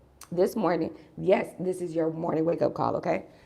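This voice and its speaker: A woman puts on a raspy character voice with fairly low pitch and monotone, flat intonation. She talks at a moderate pace. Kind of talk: casual video-blog talk.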